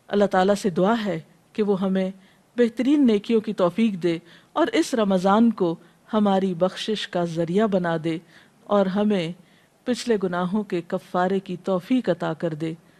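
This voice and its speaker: Speaking in a normal speaking voice, a woman keeps her pitch medium and her pitch variation ordinary. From Pakistan. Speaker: Islamic scholar and preacher. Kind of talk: religious lecture.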